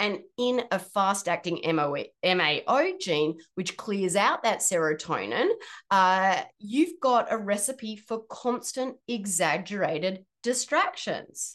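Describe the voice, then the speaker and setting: With an Australian accent, a woman at a medium pitch speaks at a very slow pace with hardly any pauses and lively intonation against a quiet background. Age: 40s. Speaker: podcast host and health practitioner. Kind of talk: solo podcast explainer.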